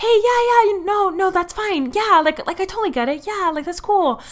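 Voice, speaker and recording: A woman puts on a squeaky character voice at an extremely high pitch. She keeps a moderate pace, with lively intonation. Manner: overly eager, placating.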